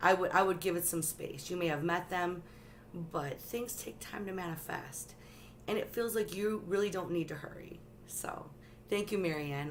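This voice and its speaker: The woman's voice sits fairly low in pitch, with ordinary pitch variation. Audible room echo surrounds it. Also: moderate pace. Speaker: tarot reader livestreamer. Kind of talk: live stream tarot reading. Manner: animated.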